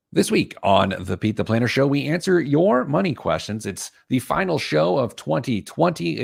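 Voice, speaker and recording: A man performs a put-on character voice that is hoarse and gravelly, at a medium pitch with very wide pitch swings. He keeps a moderate pace in a very clean recording with a silent background. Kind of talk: radio show host intro.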